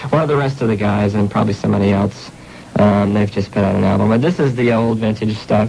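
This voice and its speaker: There is noticeable background noise. A man speaks at a fairly low pitch. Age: 20s. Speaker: college radio host. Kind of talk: radio interview. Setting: radio studio. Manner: hesitant, many fillers.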